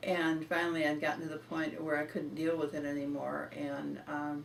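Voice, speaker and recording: A woman with a very deep, low voice speaks at a moderate pace against noticeable background noise. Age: 80s+. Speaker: healing client giving testimonial. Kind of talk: interview answer.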